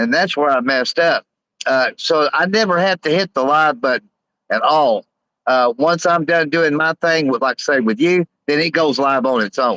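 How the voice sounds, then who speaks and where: A man speaks at a fairly high pitch and a moderate pace, bright and sharp in tone with lively intonation. The sound is dry and close, with no echo. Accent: Southern US. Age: 50s. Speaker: live streamer. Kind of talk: casual chat. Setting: livestream. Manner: halting.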